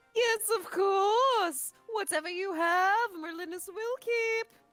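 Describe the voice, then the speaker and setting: A woman does a put-on character voice at an extremely high pitch, speaking at a fairly slow pace. Music plays in the background. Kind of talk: archaic, courtly.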